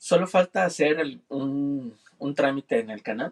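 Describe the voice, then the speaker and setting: A man's voice sits at a fairly high pitch, recorded with a dry, close sound and no echo. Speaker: producer. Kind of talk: casual chat. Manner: formal.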